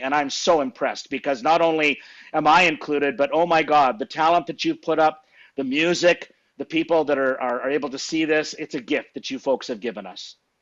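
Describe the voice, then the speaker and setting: An ordinary speaking voice from a man with a Canadian accent moves at a fairly quick pace, fairly high in pitch, with fairly even intonation. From Saskatchewan, Canada. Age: 60s. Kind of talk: casual interview chat.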